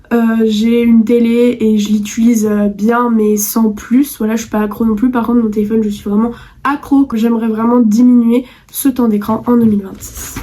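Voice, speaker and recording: Moderate pace, fairly high pitch and a monotone, flat intonation from a woman. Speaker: youtuber. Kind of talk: vlog monologue.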